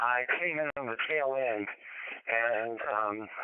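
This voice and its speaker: With noticeable background noise behind him, a man talks at a medium pitch with fairly even intonation. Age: 80s+. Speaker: ham radio net participant. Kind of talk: radio net check-in chat. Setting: amateur radio digital voice net. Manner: halting.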